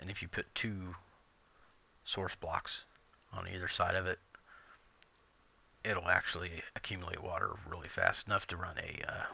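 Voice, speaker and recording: A soft-spoken man talks at a moderate pace, leaving long, frequent pauses. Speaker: gaming video creator. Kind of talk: gameplay commentary. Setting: at home.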